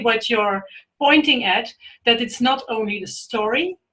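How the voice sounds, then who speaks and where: A woman speaks high in pitch, with ordinary pitch variation, at a moderate pace. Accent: Dutch. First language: Dutch. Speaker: storyteller, webinar participant. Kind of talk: webinar discussion. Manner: halting.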